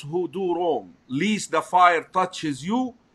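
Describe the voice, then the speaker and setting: In an Egyptian accent, a man speaks at a very slow pace. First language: Arabic. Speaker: Islamic scholar and teacher. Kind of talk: religious lecture discussion. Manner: halting.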